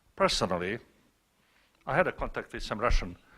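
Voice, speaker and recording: A man speaks with a Montenegrin accent and vocal fry. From Montenegro. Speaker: scientist asking a question from the audience. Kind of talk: audience question at a panel. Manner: loud.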